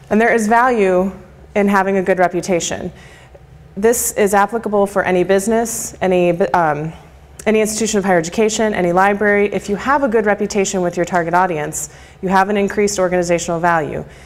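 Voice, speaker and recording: Over noticeable background noise, a woman talks very fast at a medium pitch. Her loudness stays very even and her intonation fairly even. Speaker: marketing and communications speaker. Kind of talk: lecture presentation.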